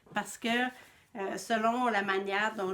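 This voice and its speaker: Her Quebec accent comes through as a woman speaks with ordinary pitch variation. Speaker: knitting podcaster and yarn dyer. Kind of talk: casual vlog monologue.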